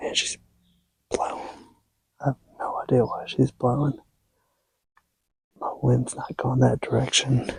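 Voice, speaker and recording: A man whispers in an American accent at a fairly slow pace, with long, frequent pauses. The sound is dry and close, with no echo. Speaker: hunting vlogger. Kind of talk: hunting vlog commentary. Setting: outdoors in a deer stand. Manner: whispering.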